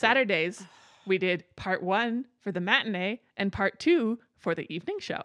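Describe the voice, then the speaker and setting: A woman speaks in a normal speaking voice at a medium pitch and a moderate pace, with ordinary pitch variation. The sound is dry and close with no echo, over a quiet background. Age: 30s. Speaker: podcast co-host. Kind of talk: casual chat.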